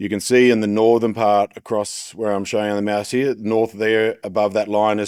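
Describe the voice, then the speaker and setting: Fairly quick speech comes from a man with an Australian accent. His pitch is fairly low. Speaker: agricultural business presenter. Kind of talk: conference presentation. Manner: hesitant with fillers.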